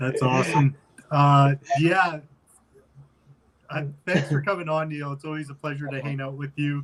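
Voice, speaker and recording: A man's fairly high-pitched voice with an American accent, monotone and flat, at a moderate pace, with big swings in loudness and long, frequent pauses. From United States. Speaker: podcast host. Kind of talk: casual chat.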